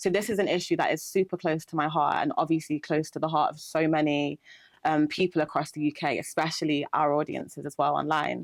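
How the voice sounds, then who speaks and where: A woman with a Nottingham accent and a very deep, low pitch, fairly quick in pace with fairly even intonation, on a very clean recording with a silent background and a dry, close sound with no echo. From England, Nottingham. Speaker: interviewer. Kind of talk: interview.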